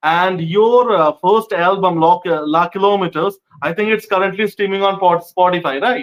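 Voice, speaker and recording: In a Bengali accent, a high-pitched man talks with hardly any pauses and fairly even intonation. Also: moderate pace. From India, West Bengal. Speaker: interviewer, film critic. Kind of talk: interview. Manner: casual, informal.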